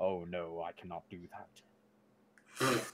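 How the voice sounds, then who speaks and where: Using a put-on character voice, a man speaks at a very deep, low pitch. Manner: ghostly, dramatic.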